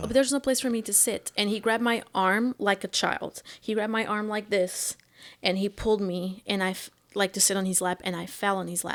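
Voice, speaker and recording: In a very clean recording with a silent background, a woman with a Portuguese accent talks at a fairly quick pace, at a medium pitch and with fairly even intonation. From Portugal. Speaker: stand-up comedian. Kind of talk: interview answer.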